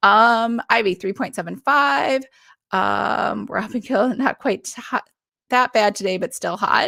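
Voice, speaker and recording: A woman talks very slowly in a bright, sharp tone, in a very clean recording with a silent background and a dry, close sound with no echo. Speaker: author and book club host. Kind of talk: live stream book club chat. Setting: live stream.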